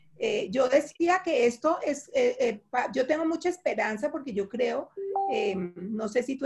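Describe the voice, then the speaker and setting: Her intonation rises and falls in a lively way. The voice belongs to a woman. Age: 60s. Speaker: nonprofit director. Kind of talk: webinar panel discussion.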